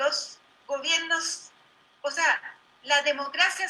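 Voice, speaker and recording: A woman's raised, projected voice at a high pitch. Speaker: political candidate. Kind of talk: debate.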